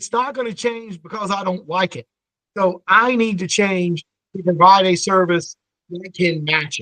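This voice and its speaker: A man's raised, projected voice, high-pitched and bright, sharp in tone, at a moderate pace with ordinary pitch variation and a dry, close sound with no echo. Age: 50s. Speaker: family law attorney. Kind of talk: podcast interview. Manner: halting, many fillers and repeats.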